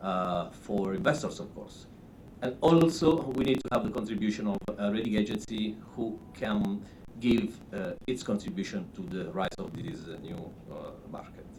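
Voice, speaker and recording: A man at a medium pitch speaks at a moderate pace, with very wide pitch swings and big swings in loudness. Audible room echo is present. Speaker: rating agency executive. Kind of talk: conference presentation. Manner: halting.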